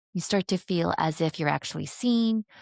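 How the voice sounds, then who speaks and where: A woman speaks with lively intonation. The recording is very clean and dry, close with no echo, over a silent background. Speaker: NLP trainer and marketing expert. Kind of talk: interview conversation. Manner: fast.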